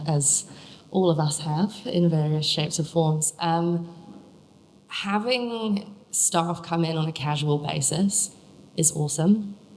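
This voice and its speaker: A woman speaks at a fairly slow pace, her voice somewhat breathy. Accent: English. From England. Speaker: young grower competition contestant, packing manager. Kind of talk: panel Q&A answer.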